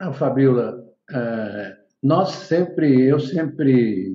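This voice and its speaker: Man at a very slow pace with a medium pitch. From São Paulo state, Brazil (city and interior). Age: 70s. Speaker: economist. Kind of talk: interview.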